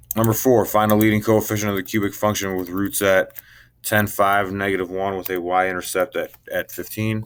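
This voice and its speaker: Fairly quick delivery with monotone, flat intonation. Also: man. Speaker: math teacher. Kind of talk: tutorial. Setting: recorded video lesson. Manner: fast.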